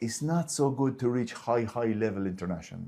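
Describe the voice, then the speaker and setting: This man has an Irish accent and a dark, mellow tone at medium pitch. He speaks at a fairly quick pace. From Ireland. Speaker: martial arts grandmaster and federation president. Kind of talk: interview. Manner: halting.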